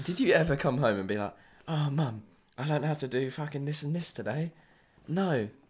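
Somewhat breathy and animated, a fairly high-pitched man speaks at a fairly quick pace with ordinary pitch variation and long, frequent pauses on a very clean recording with a silent background. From southern England (Sussex). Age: young. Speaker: host's younger brother. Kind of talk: casual chat.

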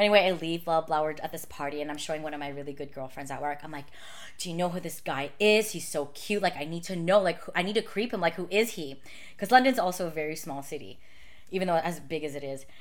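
A woman with fairly low pitch talks very fast, her loudness swinging widely. Noticeable background noise sits behind her. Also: ordinary pitch variation. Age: 30s. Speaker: makeup artist and YouTuber. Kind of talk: casual chat. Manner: casual, laughs a lot.

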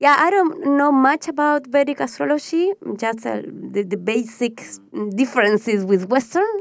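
In a Spanish accent, a woman talks with lively intonation. The recording is very clean, with a silent background. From Patagonia, Argentina. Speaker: astrologer. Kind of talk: interview. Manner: halting.

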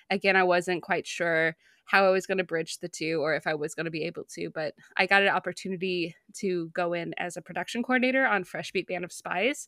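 This woman has an ordinary speaking voice. Her pitch is fairly low and her intonation fairly even. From US Midwest, small town on the Ohio River. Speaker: animation writer and cartoonist, podcaster. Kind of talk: casual interview chat.

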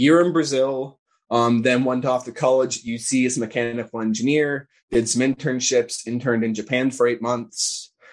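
A moderate pace carries the words. It is an unremarkable speaking voice. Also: man. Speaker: political organizer. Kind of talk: casual interview conversation.

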